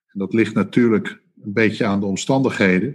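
A man is speaking. His pace is fairly slow. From Netherlands, Rotterdam. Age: 50s. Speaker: retail executive. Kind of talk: interview. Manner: halting.

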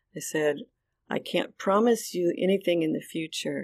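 A woman speaks in an unremarkable speaking voice, fairly low in pitch, at a fairly slow pace with ordinary pitch variation. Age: 60s. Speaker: author and foster mother. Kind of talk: personal testimony.

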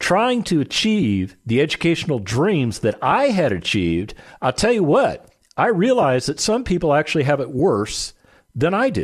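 Against a quiet background, a man with an American accent speaks at a moderate pace. His pitch is fairly high and swings very widely. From US West, Las Vegas, Nevada. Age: 50s. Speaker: radio host, real estate investor. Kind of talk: solo radio monologue. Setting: radio studio. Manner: conversational, self-correcting with repetitions.

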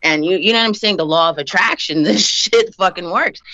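A woman has an ordinary speaking voice with a fairly low pitch. She talks at a fairly quick pace with lively intonation. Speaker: guest, wife of interviewee. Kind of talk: casual interview.

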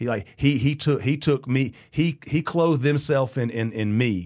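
On a very clean recording with a silent background, a man of medium pitch speaks at a moderate pace with ordinary pitch variation. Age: 40s. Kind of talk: casual chat. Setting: studio. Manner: halting, many repetitions.

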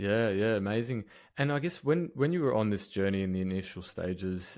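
Speaking in an Australian accent, a man keeps a moderate pace with ordinary pitch variation. The recording is very clean, with a silent background. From Melbourne, Australia. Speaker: podcast host. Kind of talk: interview.

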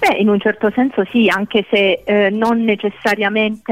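Her medium-pitched voice is monotone and flat as the woman speaks at a moderate pace. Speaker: doctor, sexologist. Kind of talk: expert discussion on radio. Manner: measured, explanatory.

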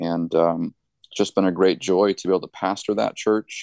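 In a normal speaking voice, a man with an American accent talks at a moderate pace with a fairly low pitch and fairly even intonation, the sound dry and close with no echo over a quiet background. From New Hampshire, US. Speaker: pastor. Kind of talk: interview.

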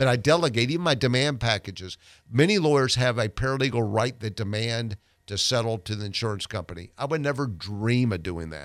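A man at a medium pitch, with lively intonation and a fairly quick pace, on a very clean recording with a silent background. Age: 60s. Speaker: personal injury lawyer. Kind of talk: radio guest interview. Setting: radio studio. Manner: halting, repeats words.

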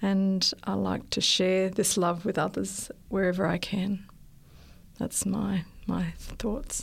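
A woman with an Australian accent speaks at a very slow pace, her medium pitch carrying vocal fry, fairly even intonation and very even loudness. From Australia, Sydney. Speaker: nurse and missionary. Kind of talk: interview.

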